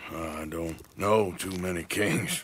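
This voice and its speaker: A man uses a put-on character voice that is raspy and very deep in pitch. His intonation stays fairly even. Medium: video game. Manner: plain-spoken, drawling.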